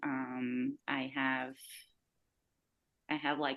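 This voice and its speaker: This woman's voice sits very deep and low. She speaks with a non-native accent. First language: not English. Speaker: runner. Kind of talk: casual chat. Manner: halting, many fillers.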